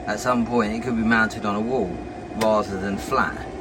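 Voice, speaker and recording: A man with an English accent at a moderate pace, with audible room echo and noticeable background noise. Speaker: YouTuber testing tools. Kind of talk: casual product demonstration. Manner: casual, hesitant with many ums.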